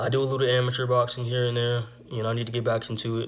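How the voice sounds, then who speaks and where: The man's somewhat breathy voice moves along at a moderate pace. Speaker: vlogger telling personal stories. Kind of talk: casual story time monologue. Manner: stuttering at times.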